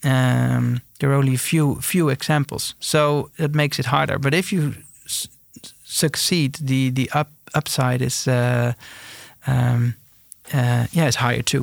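A man's medium-pitched voice with a Dutch accent, fairly slow and fairly even in intonation, with a dry, close sound and no echo. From eastern Netherlands. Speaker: entrepreneur, company founder. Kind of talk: interview. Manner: halting.

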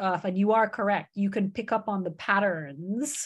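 A woman speaks at a medium pitch with ordinary pitch variation. The background is quiet. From Canada. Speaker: startup founder. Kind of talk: interview. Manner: very awake.

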